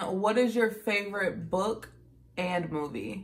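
A woman with an American accent speaks at a fairly slow pace, with a medium pitch and ordinary pitch variation. Light background noise is present. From Dayton, Ohio; Ohio. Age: 20s. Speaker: beauty YouTuber. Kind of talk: casual talk to camera. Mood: cheerful, relaxed. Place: home room. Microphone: phone near.

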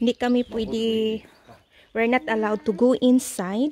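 A woman with a fairly high pitch talks at a fairly slow pace. Her tone is dark and mellow, her intonation fairly even.

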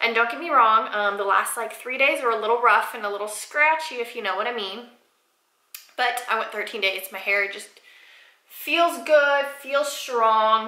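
There is audible room echo as a woman with a fairly high pitch speaks at a moderate pace, her loudness swinging widely. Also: ordinary pitch variation, quiet background. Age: 20s. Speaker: lifestyle YouTuber. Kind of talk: casual vlog talk to camera. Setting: home bathroom, sitting on floor. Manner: chatty, informal. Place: bathroom.

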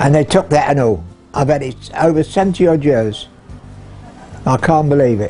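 Music plays behind a man speaking at a moderate pace, his pitch fairly high and his intonation lively. He leaves long, frequent pauses. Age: 80s+. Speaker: barber. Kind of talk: interview answer.

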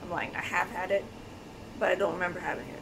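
A woman talks while clear background noise carries on around her. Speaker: vegan vlogger. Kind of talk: casual vlog chat. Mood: cheerful, laughing. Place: kitchen. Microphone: phone near.

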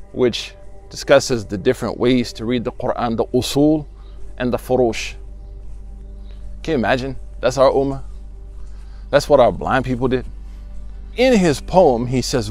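A man speaks with a dry sound and no echo. Faint music plays in the background. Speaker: imam, Islamic teacher. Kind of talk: religious talk / sermon excerpt. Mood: earnest, encouraging. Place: garden. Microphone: lapel.

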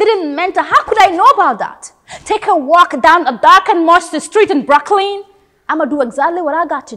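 Against a quiet background, a woman projects a raised voice at an extremely high pitch, fairly quick and intense, with big swings in loudness. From The Gambia. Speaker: theatre student. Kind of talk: performed dramatic monologue, audition-style, with a bitter, defiant, emotional delivery. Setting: self-recorded audition video. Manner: expressive and intense, shifting from biting anger to wistful, reflective tones. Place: studio.

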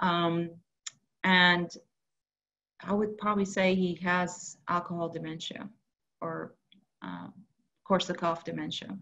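With a bright, sharp tone and a fairly low pitch, a woman speaks in a flat monotone at a fairly slow pace, with long, frequent pauses and big swings in loudness. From Iran. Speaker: geriatric psychiatrist; presenter. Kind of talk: webinar lecture. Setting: video call. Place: home room. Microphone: video call.

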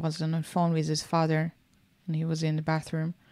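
A woman's fairly low voice with an Israeli accent, on a very clean recording over a silent background. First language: Hebrew. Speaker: small business owner, podcast co-host. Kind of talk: casual chat.

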